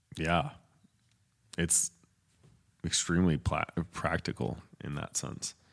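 Very deep and low in pitch, a man with an American accent speaks with vocal fry, ordinary pitch variation and long, frequent pauses. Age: 20s. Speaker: podcast co-host. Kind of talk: casual bible study chat.

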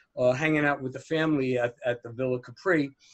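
Fairly even intonation in an American accent. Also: man. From New Jersey, near New York City. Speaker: author. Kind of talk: casual interview chat. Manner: chatty, relaxed.

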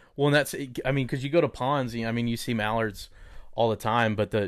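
Fairly quick, fairly even intonation from a man. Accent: Texas. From Texas, Dallas. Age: 30s. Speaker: mortgage lender. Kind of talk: casual chat.

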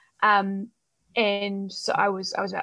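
A woman talks in a New Zealand accent. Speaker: belly dancer and exercise scientist. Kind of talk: interview.

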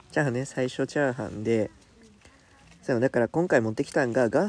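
A dark, mellow voice speaks with a Kansai accent. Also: man. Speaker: Buddhist monk, podcast co-host. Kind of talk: casual chat. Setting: campsite, by a campfire. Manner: quieter than usual.

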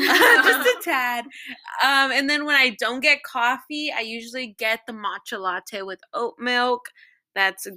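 Recorded very cleanly over a silent background, a woman with a Californian accent has a bright, sharp tone. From Los Angeles. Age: 20s. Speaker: engineering student. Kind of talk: casual chat. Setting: at home with housemates.

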